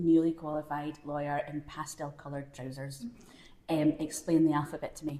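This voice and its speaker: A woman speaks with a very deep, low pitch and a dark, mellow tone in a strong Glasgow accent. Her voice is somewhat breathy. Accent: Scottish (Glasgow), kept strong. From Scotland, Glasgow. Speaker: screenwriter. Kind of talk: live panel conversation. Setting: stage with audience at a film festival.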